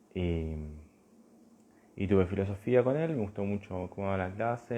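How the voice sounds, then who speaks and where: A soft-spoken man talks at a moderate pace. His pitch is fairly low, with ordinary variation. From Argentina, Buenos Aires area. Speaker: philosophy teacher. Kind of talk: live stream talk. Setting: Instagram live video.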